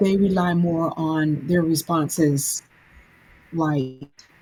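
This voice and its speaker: With an American accent, a woman speaks in a very deep, low-pitched, somewhat breathy voice with a dark, mellow tone. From US South, Alabama. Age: 60s. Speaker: anthology author. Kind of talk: casual podcast chat. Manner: halting repetitions.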